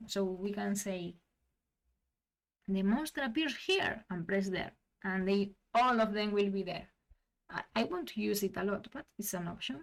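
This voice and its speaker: Speaking fairly slowly with long, frequent pauses, a woman at medium pitch has a non-native accent. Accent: non-native English, self-described. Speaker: tabletop gaming tutorial creator. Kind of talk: software tutorial. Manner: halting, with frequent restarts.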